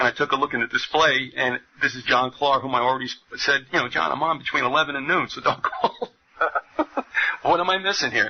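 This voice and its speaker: A man with a New Jersey accent talks very fast at a fairly high pitch, leaving long, frequent pauses. Noticeable background noise sits behind him. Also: ordinary pitch variation. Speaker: radio host. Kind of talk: radio interview. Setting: radio studio.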